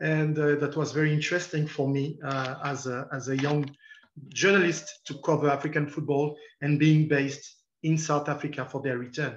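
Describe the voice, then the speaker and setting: With a French accent, a man with a fairly high pitch and a somewhat breathy voice speaks at a moderate pace in a monotone, flat intonation, with audible room echo. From France. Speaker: football journalist. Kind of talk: lecture. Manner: halting.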